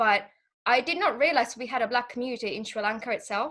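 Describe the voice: Tone is bright and sharp, with ordinary pitch variation. The pace is fairly quick. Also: woman, fairly high pitch for a woman.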